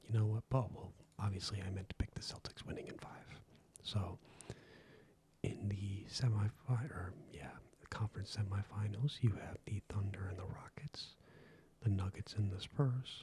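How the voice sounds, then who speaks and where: The speaker is soft-spoken and leaves long, frequent pauses. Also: moderate pace. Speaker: ASMR creator. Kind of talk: ASMR sports commentary.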